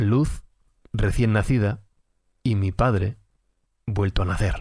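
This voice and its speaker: A man talks very slowly, his voice somewhat breathy. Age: 30s. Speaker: podcast narrator. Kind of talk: scripted narration.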